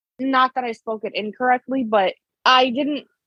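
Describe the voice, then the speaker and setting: A woman speaks with a Chicago accent. Her pace is fairly slow, and her pitch varies in an ordinary way. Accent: Chicago American. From Chicago, US. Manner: runs words into one another.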